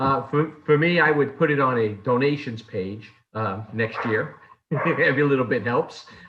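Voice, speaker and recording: Speaking with a New York accent, a man keeps a moderate pace and ordinary pitch variation. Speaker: lay service leader. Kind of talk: worship service leading. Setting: video call.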